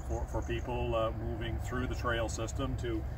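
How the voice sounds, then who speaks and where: A man's very deep, low voice with fairly even intonation, dry with no echo, over noticeable background noise. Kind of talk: interview answer. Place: forest. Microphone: camera far.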